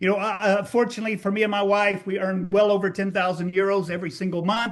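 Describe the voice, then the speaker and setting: A man with a Texas accent talks at a very fast pace. His pitch is high, and there is noticeable background noise. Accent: American (Texas). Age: 60s. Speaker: network marketing distributor. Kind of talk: testimony. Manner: animated.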